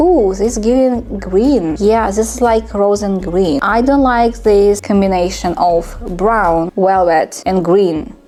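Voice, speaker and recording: A woman's very slow, non-native-accented speech at a medium pitch, with hardly any pauses, very even loudness, ordinary pitch variation and noticeable background noise. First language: not English. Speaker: beauty vlogger. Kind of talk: makeup review tutorial. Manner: casual, chatty.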